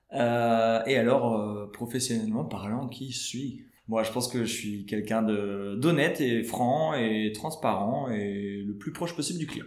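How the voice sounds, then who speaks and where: Very slow yet with hardly any pauses, the speech shows ordinary pitch variation amid audible room echo and noticeable background noise. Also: man, medium pitch for a man. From Belgium, Tournai. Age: 20s. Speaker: real estate agent. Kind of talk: podcast interview. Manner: hesitant, many fillers.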